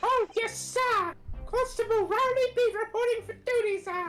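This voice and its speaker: A squeaky, put-on character voice at a moderate pace, with clear music in the background. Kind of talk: eager, formal. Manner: sleepy.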